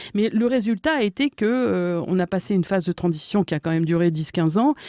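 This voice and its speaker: A woman with a fairly low pitch and a dark, mellow tone speaks with ordinary pitch variation in a dry, close sound with no echo, on a very clean recording with a silent background. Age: 60s. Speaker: history professor. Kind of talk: podcast interview. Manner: hesitant, many fillers.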